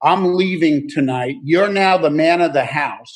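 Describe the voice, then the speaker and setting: A man's voice, high in pitch with ordinary pitch variation, moves at a moderate pace. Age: 70s. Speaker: AA speaker. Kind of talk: testimony.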